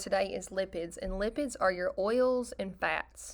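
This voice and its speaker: A woman speaks at a medium pitch with a bright, sharp tone. The recording is very clean with a silent background. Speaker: biology teacher. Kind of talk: recorded lecture.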